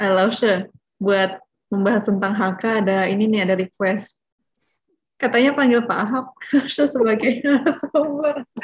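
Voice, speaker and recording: A woman speaks at a moderate pace with long, frequent pauses and a fairly high, somewhat breathy voice. Her pitch variation is ordinary, her loudness very even, and there is light background noise. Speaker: webinar moderator. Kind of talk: moderating Q&A. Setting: video call. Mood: friendly, smiling. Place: home room. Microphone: video call.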